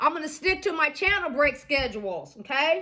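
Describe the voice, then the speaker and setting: A woman with an American accent speaks in a raised, projected voice, high in pitch and bright and sharp in tone. Her intonation is lively and her pace moderate. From Iowa, US Midwest. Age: 60s. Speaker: social skills vlogger. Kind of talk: casual monologue. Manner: halting, with repetitions.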